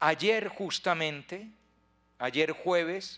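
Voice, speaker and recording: A man with a high pitch and ordinary pitch variation speaks in a bright, sharp tone against a quiet background. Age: 60s. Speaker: priest. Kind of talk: retreat talk. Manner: repetitive stammering. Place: hall. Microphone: handheld.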